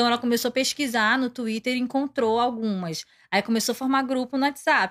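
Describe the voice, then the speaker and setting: A woman in a plain, everyday voice talks at a moderate pace and fairly high pitch with ordinary pitch variation, dry and close with no echo on a very clean recording with a silent background. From Pará, Brazil. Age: 20s. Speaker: K-pop fan club member. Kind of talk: casual interview chat.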